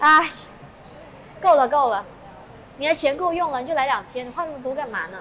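With a Malaysian accent, a woman raises and projects her high voice, talking at a fairly quick pace with lively intonation, long, frequent pauses and big swings in loudness, amid noticeable background noise and audible room echo. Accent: Malaysian Chinese Mandarin. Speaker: local friend and guide. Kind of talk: casual chat. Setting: outdoors walking in city.

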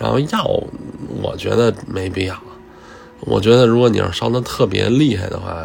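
Music behind a man's voice, at a moderate pace. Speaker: podcast host. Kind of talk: casual voice diary monologue. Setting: at workplace.

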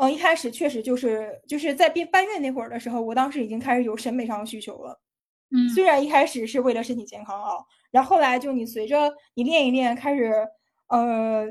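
A high-pitched woman talks with ordinary pitch variation while her loudness swings widely. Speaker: fitness video translator and uploader. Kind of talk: casual interview chat. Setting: studio. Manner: forceful, energetic.

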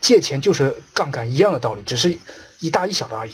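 With lively intonation, a man talks in a fairly high, somewhat breathy voice. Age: 30s. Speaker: investment trainer. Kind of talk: lecture. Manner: animated.

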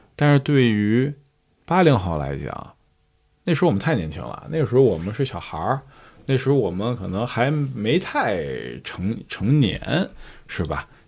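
Pausing long and often, a man at medium pitch makes very wide pitch swings on a very clean recording with a silent background. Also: moderate pace. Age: 30s. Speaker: curator. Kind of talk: casual chat.

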